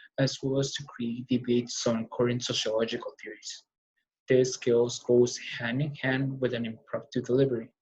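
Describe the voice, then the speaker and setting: A man with a non-native accent speaks at a medium pitch in a somewhat breathy, flat and monotone voice. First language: not English. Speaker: college student. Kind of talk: class speech. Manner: fast; halting.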